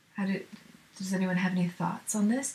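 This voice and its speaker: There is noticeable background noise behind a woman speaking at a medium pitch. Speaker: musician and video creator. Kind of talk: solo live stream talk. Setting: live stream to camera. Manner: fast; filler words, halting.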